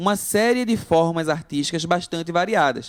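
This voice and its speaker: Here a man speaks with a high pitch and lively intonation. His pace is moderate. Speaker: art teacher. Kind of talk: online lesson. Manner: halting, many self-corrections.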